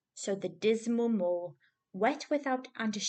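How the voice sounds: Ordinary pitch movement in a natural reading voice, with a quiet background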